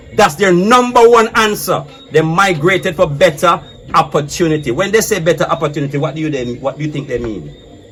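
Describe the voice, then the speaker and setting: With music in the background, a man speaks at a fairly quick pace in an animated tone, his fairly high pitch carried by lively intonation. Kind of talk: casual debate.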